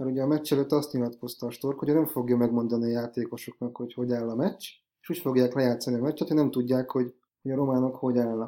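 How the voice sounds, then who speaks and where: At a very fast pace, a man with a medium-pitched voice and a dark, mellow tone speaks with fairly even intonation. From Hungary. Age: 30s. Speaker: podcast host. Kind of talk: casual chat.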